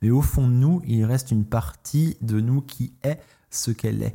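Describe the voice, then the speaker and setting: A man's somewhat breathy voice of medium pitch and dark, mellow tone, with ordinary pitch variation at a moderate pace. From France. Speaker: cycling podcaster. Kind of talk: solo monologue podcast.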